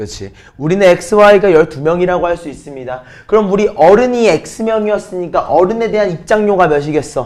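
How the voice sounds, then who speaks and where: The speech moves at a fairly quick pace with ordinary pitch variation. Loudness swings widely throughout. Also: man, high pitch for a man. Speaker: math teacher. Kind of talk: lecture.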